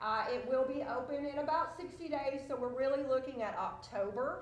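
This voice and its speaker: A woman speaks in a high-pitched voice. There is audible room echo and noticeable background noise. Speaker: senior living community representative. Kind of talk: conference presentation.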